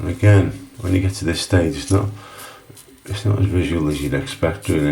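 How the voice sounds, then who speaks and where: A man with a Liverpool accent speaks at a fairly quick pace with lively intonation. Background noise is noticeable. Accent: Scouse. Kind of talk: casual talk to camera tutorial.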